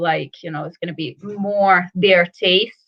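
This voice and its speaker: A woman speaks with an Italian accent at a medium pitch. Her pace is fairly slow. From northern Italy. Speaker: whisky brand ambassador. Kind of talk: casual chat.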